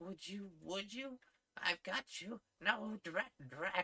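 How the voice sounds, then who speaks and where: Someone in a put-on character voice speaks at a middle pitch and a very slow pace. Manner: angry.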